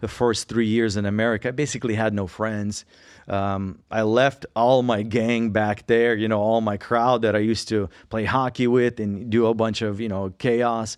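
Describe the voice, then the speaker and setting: A man talks at a moderate pace and medium pitch, his intonation monotone and flat. The background is quiet. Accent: Russian. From Russia, moved to Colorado at age 9. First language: Russian. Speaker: podcast co-host sharing testimony. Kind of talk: testimony.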